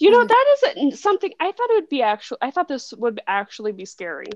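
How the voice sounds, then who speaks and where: A woman talks at a fairly quick pace, her loudness swinging widely. The sound is dry and close, with no echo. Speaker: book club podcast host. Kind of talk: casual chat. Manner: animated. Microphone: laptop microphone, sounds muffled.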